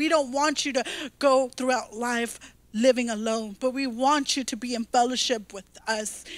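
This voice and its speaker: Animated in tone, a woman talks at a high pitch and a moderate pace, the sound dry with no echo. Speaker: pastor. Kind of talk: sermon. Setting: church stage, streamed video. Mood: warm, inviting. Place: church. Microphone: handheld.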